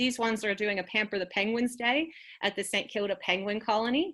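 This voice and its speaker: An ordinary speaking voice with an American accent moves at a fairly quick pace in a very clean recording with a silent background. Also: woman. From United States. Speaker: executive officer of an environmental non-profit. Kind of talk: presentation.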